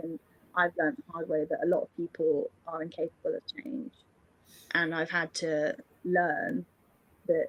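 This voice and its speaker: A woman with a British accent talks at a moderate pace with lively intonation and long, frequent pauses. The sound is dry and close, with no echo. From England. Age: 20s. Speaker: singer-songwriter. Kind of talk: interview answer. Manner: casual, chatty.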